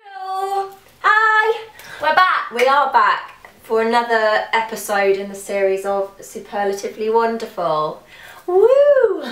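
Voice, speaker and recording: Against noticeable background noise and an audible room echo, a woman speaks at a fairly slow pace. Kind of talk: casual chat.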